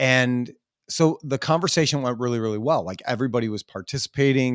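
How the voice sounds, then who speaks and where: On a very clean recording with a silent background, a man with a plain, everyday voice talks at a fairly quick pace, at medium pitch with ordinary pitch variation. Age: 40s. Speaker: podcast host. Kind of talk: casual chat.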